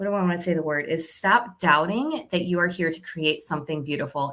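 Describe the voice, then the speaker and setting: This woman speaks with a fairly low pitch and ordinary pitch variation. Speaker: oracle card reader on a livestream. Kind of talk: live stream card readings for viewers. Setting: live video stream. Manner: fast; casual, chatty.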